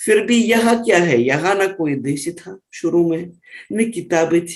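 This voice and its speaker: A high-pitched man with lively intonation. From Russia. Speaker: Hindi teacher. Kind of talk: interview.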